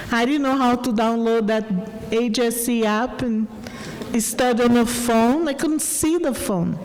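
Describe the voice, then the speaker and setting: A woman's high voice with a strong Brazilian accent, audible room echo and noticeable background noise. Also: ordinary pitch variation, fairly slow pace, very even loudness. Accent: Brazilian Portuguese, heavy. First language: Portuguese. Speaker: adult education graduate, student speaker. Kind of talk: graduation speech. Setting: auditorium stage with audience.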